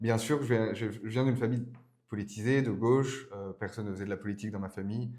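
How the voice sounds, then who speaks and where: A man talks at a very fast pace in a dark, mellow tone. His intonation stays fairly even. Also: medium pitch for a man. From France, Burgundy. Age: 20s. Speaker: political speechwriter. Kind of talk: podcast interview. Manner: hesitant, many fillers.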